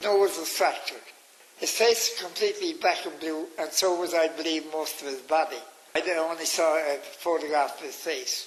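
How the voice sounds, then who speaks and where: A man's high-pitched voice with a Cork accent, fairly even intonation and a moderate pace, over noticeable background noise. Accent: Cork Irish. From Ireland, Cork. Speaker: pilgrimage leader. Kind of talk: radio interview storytelling.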